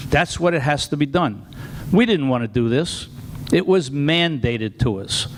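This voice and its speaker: A Long Island accent with lively intonation at a moderate pace. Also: man, fairly high pitch for a man. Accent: Long Island New York. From Long Island, New York. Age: 70s. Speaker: retired fire chief. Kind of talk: public comment at town meeting. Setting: town board meeting.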